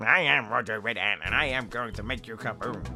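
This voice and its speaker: A put-on character voice from a man at medium pitch, delivered at a fairly quick pace over clear music in the background. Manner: comical, gibberish-like game-character speech.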